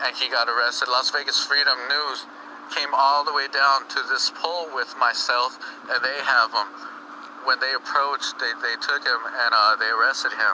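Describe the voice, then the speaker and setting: A man talks at a moderate tempo while noticeable noise fills the background. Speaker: cop-watching livestreamer. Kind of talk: live commentary.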